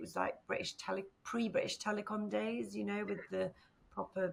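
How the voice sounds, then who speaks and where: A woman with a Northern English accent talks at a moderate pace over noticeable background noise. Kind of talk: interview answer. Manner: casual, conversational.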